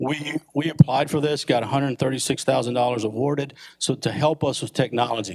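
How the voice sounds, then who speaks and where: There is vocal fry as a man talks at a fairly quick pace. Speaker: police chief. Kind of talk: presentation to city council. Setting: council meeting chamber.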